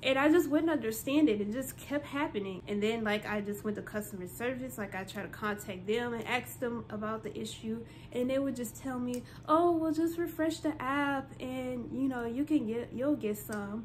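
At a moderate pace, a woman talks with hardly any pauses and ordinary pitch variation. There is light background noise behind her. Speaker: vlogger. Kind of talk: casual vlog chat. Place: home room. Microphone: phone near.

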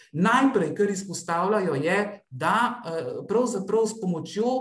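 A man speaks at a fairly slow pace with a high pitch. Room echo can be heard around his voice. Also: quiet background. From Slovenia. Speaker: researcher and doctoral student in geography; presenter. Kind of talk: conference presentation. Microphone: video call.

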